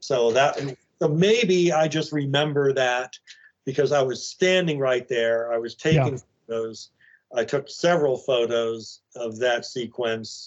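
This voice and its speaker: An ordinary speaking voice moves at a fairly slow pace. Its pitch varies in an ordinary way. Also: man, medium pitch for a man. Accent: American. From Arlington, Virginia, US. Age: 60s. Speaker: filmmaker and actor. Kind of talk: casual interview, storytelling.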